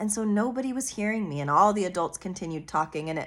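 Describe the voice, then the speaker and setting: A loud voice with very wide pitch swings, on a very clean recording with a silent background. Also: woman. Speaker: astrologer. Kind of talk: monologue on astrology. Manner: expressive.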